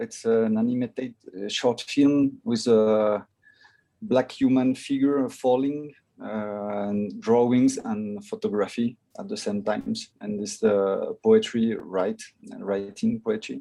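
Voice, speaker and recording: Very slow speech in a French accent. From France. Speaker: filmmaker. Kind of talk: video call panel chat. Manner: halting.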